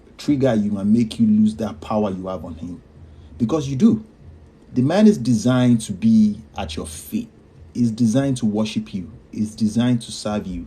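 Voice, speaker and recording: With big swings in loudness, a man speaks at a moderate pace in a dark, mellow, somewhat breathy voice of fairly low pitch and ordinary pitch variation. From Nigeria. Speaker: podcast host. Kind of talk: live stream advice.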